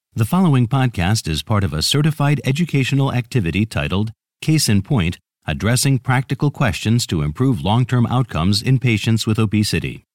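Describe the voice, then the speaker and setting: A man talks at a fairly quick pace in a medium pitch with vocal fry and very wide pitch swings. His loudness stays very even, and the recording is very clean, with a silent background and a dry, close sound with no echo. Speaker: announcer. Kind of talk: scripted narration.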